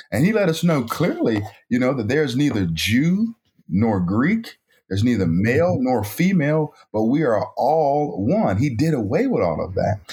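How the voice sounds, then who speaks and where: In an American accent, a man with a somewhat breathy, dark, mellow voice of medium pitch talks at a moderate pace with very wide pitch swings. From North Carolina, US South. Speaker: author and pro-life activist. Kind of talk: interview.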